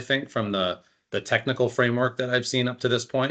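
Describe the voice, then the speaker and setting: In a plain, everyday voice, a man with an American accent talks at a fairly quick pace with ordinary pitch variation. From US South, North Carolina. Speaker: health data director. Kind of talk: webinar discussion.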